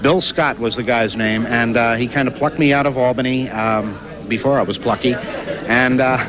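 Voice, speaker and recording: With music in the background, a man in an American accent speaks at a moderate pace, his loudness very even and his intonation fairly even. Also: medium pitch for a man. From United States. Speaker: voice actor, impressionist. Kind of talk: interview answer.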